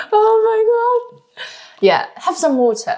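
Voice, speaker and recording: A woman speaks with a Chinese accent. Her pitch swings very widely. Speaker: language expert and vlogger. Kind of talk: casual chat, language quiz.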